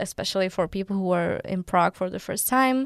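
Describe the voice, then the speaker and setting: A woman with a Czech accent and ordinary pitch variation on a very clean recording with a silent background. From Czech Republic. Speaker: university student. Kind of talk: interview.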